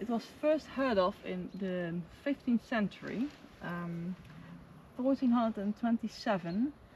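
A woman talks at a fairly slow pace, with a dry sound and no echo, over noticeable background noise. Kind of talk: casual vlog chat. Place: open country. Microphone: camera far.

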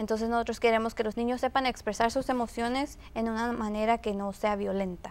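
Talking at a fairly quick pace with hardly any pauses, a woman keeps a monotone, flat intonation. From Mexico. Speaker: youth instructor; guest. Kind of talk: interview. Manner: hesitant, filler words. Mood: earnest, calm. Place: studio. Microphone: lapel.

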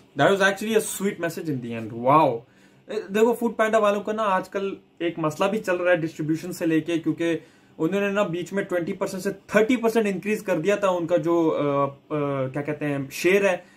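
Moderate pace and ordinary pitch variation. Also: man, high pitch for a man. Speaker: reaction video creator. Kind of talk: casual vlog chat. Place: home room.

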